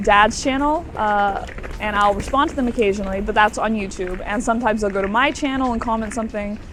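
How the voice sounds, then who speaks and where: Pitched fairly high, a woman with a Southern US accent speaks with fairly even intonation, audible room echo and noticeable background noise. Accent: American, US South. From Florida, US. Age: young. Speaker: student, interviewee. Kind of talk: casual interview. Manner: hesitant, many fillers.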